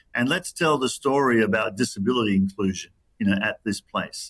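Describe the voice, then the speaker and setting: A man talks at a medium pitch in an ordinary speaking voice. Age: 60s. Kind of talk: interview. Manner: many fillers and repeated words.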